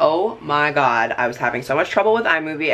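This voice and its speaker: Very deep and low in pitch, a woman speaks in an animated tone with ordinary pitch variation. Noticeable background noise is present. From Canada. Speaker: vlogger. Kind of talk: casual vlog talk to camera. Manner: fast.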